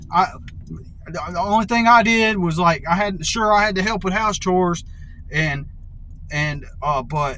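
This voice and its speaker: In a raised, projected voice at a high pitch, a man talks at a moderate pace with ordinary pitch variation and long, frequent pauses, amid audible room echo and noticeable background noise. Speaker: video blogger. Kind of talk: casual monologue. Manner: halting, many fillers and repeats.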